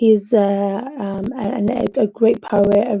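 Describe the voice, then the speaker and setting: In a Liverpool accent, a woman talks with fairly even intonation. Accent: Liverpool (Scouse) English. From Liverpool, England (Yemeni family). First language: Arabic. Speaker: poet. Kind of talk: casual livestream talk. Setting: home livestream from bedroom. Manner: hesitant, many fillers.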